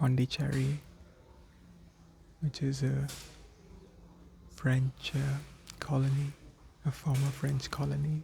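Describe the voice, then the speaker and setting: A soft-spoken man talks at a very slow pace with long, frequent pauses and a medium pitch. His tone is gentle, dark and mellow, and somewhat breathy. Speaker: existential coach. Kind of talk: gentle ASMR-style relaxation talk. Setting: outdoors in a quiet, breezy place. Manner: gentle, calming, soft.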